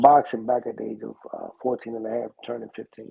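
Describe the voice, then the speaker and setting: A man talks at a moderate pace. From Panama, moved to US at ten. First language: Spanish. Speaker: boxing trainer. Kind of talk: interview. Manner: halting, many fillers and repeats.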